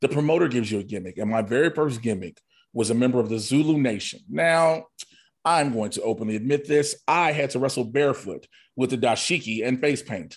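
An ordinary speaking voice talks with an American accent at a fairly quick pace. Its pitch variation is ordinary. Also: man, medium pitch for a man. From Chicago. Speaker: comedian and wrestler. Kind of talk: casual interview chat.

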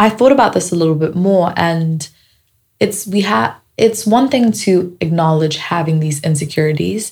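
Here a woman talks at a moderate pace, her voice fairly low and somewhat breathy. Her intonation is lively. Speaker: podcast host. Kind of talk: casual podcast monologue.

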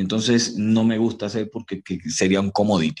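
Over a quiet background, a man with a Venezuelan accent speaks at a fairly low pitch. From Venezuela, Barinas. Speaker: motivational speaker. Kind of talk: interview. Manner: animated.

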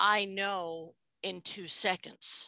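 A woman with an American accent speaks at a medium pitch in a bright, sharp tone. The sound is dry and close with no echo, over a quiet background. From US, New York City. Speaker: hypnotherapist. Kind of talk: interview.

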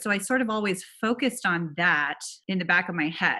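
A woman with an American accent, medium pitch, a bright, sharp tone and lively intonation. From US, California (Silicon Valley). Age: 30s. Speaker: venture capital investor. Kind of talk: interview.

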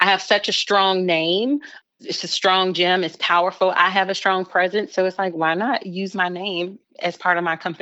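A woman with a normal speaking voice and an American accent, at medium pitch and moderate pace, with fairly even intonation. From Chicago. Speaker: social media agency owner. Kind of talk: interview.

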